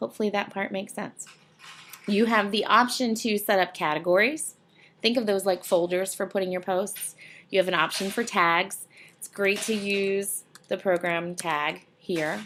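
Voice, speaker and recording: A woman talks at a moderate pace in an unremarkable speaking voice of medium pitch, with ordinary pitch variation. Her loudness swings widely on a very clean recording with a silent background. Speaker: university instructor. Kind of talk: tutorial. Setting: screencast recording.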